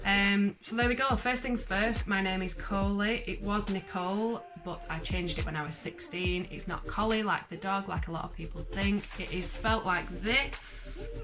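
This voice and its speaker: Over music in the background, a woman with a Lancashire accent talks at a moderate pace with hardly any pauses. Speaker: vlogger. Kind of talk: casual chat. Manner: chatty, rambling.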